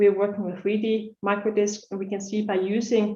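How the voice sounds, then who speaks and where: A woman's dark, mellow tone with audible room echo. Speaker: research scientist presenting at a laser workshop. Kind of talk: conference talk. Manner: fast; hesitant with many fillers.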